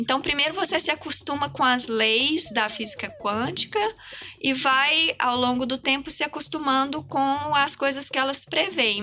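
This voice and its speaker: In a raised, projected voice, a woman speaks at a high pitch with lively intonation. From Minas Gerais, Brazil. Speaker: physics professor. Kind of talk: science podcast interview.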